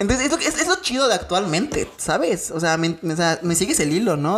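Noticeable background noise sits under a woman speaking at a moderate pace in a fairly low pitch. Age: 20s. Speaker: podcast co-host. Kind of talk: casual chat. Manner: animated.

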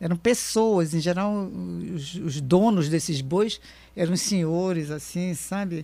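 On a very clean recording with a silent background, a woman speaks very slowly at a fairly low pitch. Her tone is dark and mellow, with ordinary pitch variation. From Brazil, Amazon region (raised in Manaus from age seven). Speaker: writer and journalist. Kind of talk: radio interview.

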